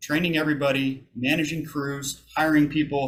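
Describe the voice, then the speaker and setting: Using an ordinary speaking voice, a man talks at a moderate pace in a fairly high pitch. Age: 30s. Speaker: army veteran, college student. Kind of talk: public talk to an audience.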